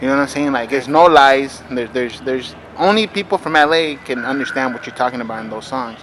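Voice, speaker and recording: A very fast man with an American accent, medium in pitch with ordinary pitch variation and big swings in loudness, over noticeable background noise. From Los Angeles area. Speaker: interviewer. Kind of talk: interview. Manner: casual.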